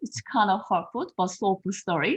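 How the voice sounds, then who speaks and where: A woman's somewhat breathy voice with a Korean accent, against a quiet background. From South Korea. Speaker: confidence coach. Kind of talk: podcast interview. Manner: halting.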